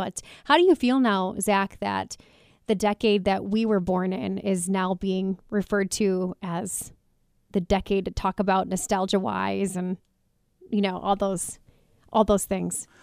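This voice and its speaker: In a very clean recording with a silent background and a dry, close sound with no echo, a woman has an ordinary speaking voice, medium pitch and fairly even intonation. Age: 30s. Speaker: radio host. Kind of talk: radio talk show. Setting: studio.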